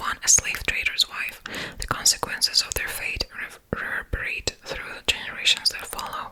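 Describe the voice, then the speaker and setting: Over noticeable background noise, a woman's whisper moves at a moderate pace, its loudness rising and falling in big swings. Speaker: ASMR content creator. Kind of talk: reading a book blurb aloud. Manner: whispered, soft-spoken.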